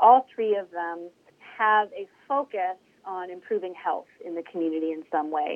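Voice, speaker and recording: Using an unremarkable speaking voice, a woman talks at a moderate pace and medium pitch with fairly even intonation. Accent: American. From Northeast Ohio, Mahoning Valley. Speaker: community health nonprofit director. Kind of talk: interview.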